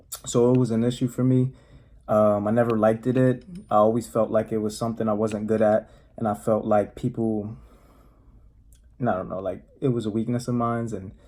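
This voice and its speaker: A man with a Spanish accent, a medium pitch and a dark, mellow tone speaks in a monotone, flat way. His pace is fairly quick, broken by long, frequent pauses. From US, Spanish-speaking home. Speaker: motivational vlogger. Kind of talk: casual monologue. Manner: casual, halting with fillers.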